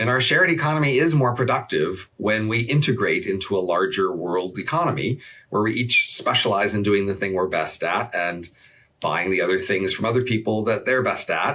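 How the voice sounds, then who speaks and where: With a bright, sharp tone and lively intonation, a man talks at a fairly quick pace. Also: medium pitch for a man. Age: 60s. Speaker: economist. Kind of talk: interview conversation.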